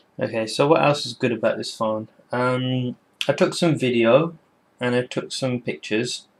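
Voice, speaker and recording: A man with a British accent at a moderate pace. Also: medium pitch for a man, ordinary pitch variation, very clean recording, silent background. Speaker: tech reviewer. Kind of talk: casual product review to camera. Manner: hesitant, many filler words.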